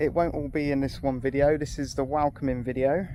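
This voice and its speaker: A man talks with a British accent. His pitch sits fairly high. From UK. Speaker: expat vlogger. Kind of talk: casual vlog talk. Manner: unscripted, hesitant.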